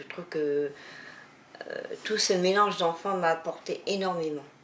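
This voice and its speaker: A woman with a fairly low pitch and ordinary pitch variation speaks at a fairly slow pace against noticeable background noise. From rural France. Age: 70s. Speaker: retired teacher. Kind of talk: testimony. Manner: hesitant.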